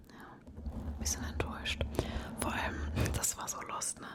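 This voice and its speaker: A woman whispers at a fairly slow pace in a relaxed tone, with noticeable background noise behind her. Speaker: ASMR creator. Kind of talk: ASMR whispered rambling talk to camera. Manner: whispered, relaxed, casual.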